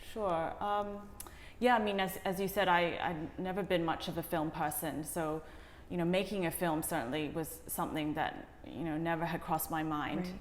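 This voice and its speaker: A woman with a fairly low pitch speaks at a moderate pace with fairly even intonation. Echo from the room is audible. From Hong Kong, then schooled in UK. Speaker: documentary director, art professional. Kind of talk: interview. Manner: hesitant, many fillers and repeats.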